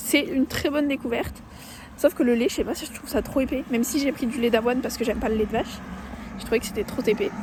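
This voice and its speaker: Through noticeable background noise, a woman talks very fast at a high pitch with ordinary pitch variation. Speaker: vlogger. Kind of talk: casual vlog. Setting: outdoors, walking. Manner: soft-spoken; casual, filler-heavy.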